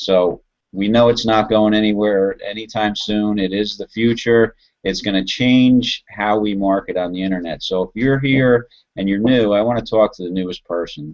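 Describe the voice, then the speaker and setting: In an American accent, a plain, everyday voice speaks at a moderate pace with fairly even intonation. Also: man, fairly low pitch for a man. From New Jersey. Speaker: online marketer. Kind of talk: sales pitch. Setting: video call.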